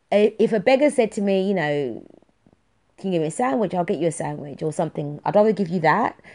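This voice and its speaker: With a London accent, a woman speaks at a very fast pace in an animated tone with lively intonation. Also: medium pitch for a woman. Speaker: podcast host. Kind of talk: casual monologue. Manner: talkative, animated.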